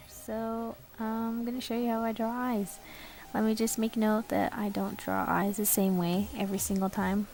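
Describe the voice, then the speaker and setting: A woman talks moderately fast at a medium pitch. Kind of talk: drawing tutorial narration. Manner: casual, hesitant.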